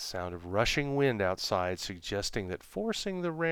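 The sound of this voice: An unforced reading voice carries the whole clip.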